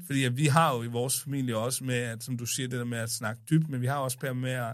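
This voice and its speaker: With an unremarkable speaking voice, a man talks at a moderate pace and medium pitch with hardly any pauses on a very clean recording with a silent background. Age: 30s. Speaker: podcast guest, son of host. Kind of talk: casual chat.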